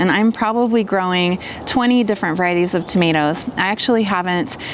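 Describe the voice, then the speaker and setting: Noticeable background noise is present throughout. Over it, a woman talks at a moderate pace. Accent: American. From US Midwest, southwestern Ohio. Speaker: gardening youtuber. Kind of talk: tutorial. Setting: outdoors.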